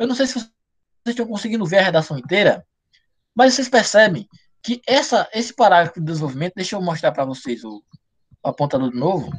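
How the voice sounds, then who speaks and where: A man's high, very fast voice with very wide pitch swings and long, frequent pauses. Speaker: writing teacher. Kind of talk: online live class. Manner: fast, slurred diction.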